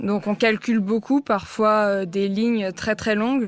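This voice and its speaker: In a very clean recording with a silent background, a woman with a fairly high voice speaks at a fairly slow pace in a monotone, flat way. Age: 20s. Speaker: chess player. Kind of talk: interview. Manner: hesitant, many fillers.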